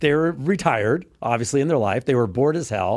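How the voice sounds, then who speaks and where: On a very clean recording with a silent background, a man with an American accent talks at a very fast pace in a medium pitch with lively intonation. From Texas. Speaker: dating coach and podcast host. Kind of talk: casual chat.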